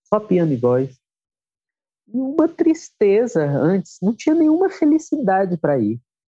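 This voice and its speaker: A man speaks in a high pitch with a dark, mellow tone. His voice makes very wide pitch swings, recorded with a dry, close sound and no echo. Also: fairly slow pace. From Brasília, Brazil. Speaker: musician and songwriter. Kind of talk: interview conversation. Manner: calm, soft-spoken.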